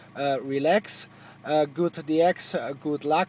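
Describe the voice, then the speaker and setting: A man with a fairly high voice speaks fairly slowly, with noticeable noise in the background. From Germany. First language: German. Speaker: CB radio operator. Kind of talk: radio contact chat. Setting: radio transmission from a car. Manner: halting.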